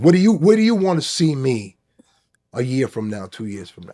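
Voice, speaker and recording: The dark, mellow tone moves at a fairly quick pace through very wide pitch swings. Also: man. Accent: New York. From New York, South Bronx. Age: 60s. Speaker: former union leader. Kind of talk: casual interview chat. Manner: animated.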